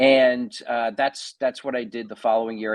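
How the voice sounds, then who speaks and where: Here a man talks at a fairly quick pace in a New Jersey accent. His pitch is medium. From New Jersey (Edison). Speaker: pastor and theologian. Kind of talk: podcast interview, personal testimony. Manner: hesitant, many fillers and restarts.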